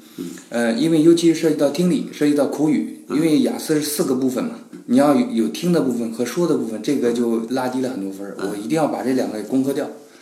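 Amid noticeable background noise and audible room echo, a man with a fairly high pitch speaks very fast with lively intonation. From China. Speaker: human resources professional. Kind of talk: casual chat.

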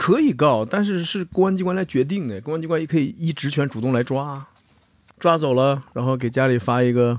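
A man speaks at a fairly quick pace with a fairly high pitch and ordinary pitch variation, in a plain, everyday voice. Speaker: lawyer. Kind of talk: casual chat.

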